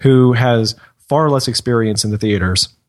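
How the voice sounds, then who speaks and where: Over a quiet background, a man speaks in a normal speaking voice at medium pitch with ordinary pitch variation. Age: 20s. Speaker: podcast co-host. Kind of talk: casual chat.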